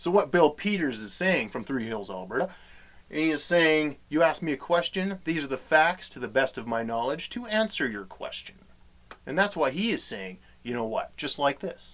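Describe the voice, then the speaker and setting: A man speaks with a Western Canadian accent at a fairly high pitch. His voice has very wide pitch swings and big swings in loudness. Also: moderate pace. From Western Canada. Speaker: comedy host. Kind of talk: comedic talk to camera. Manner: casual, folksy.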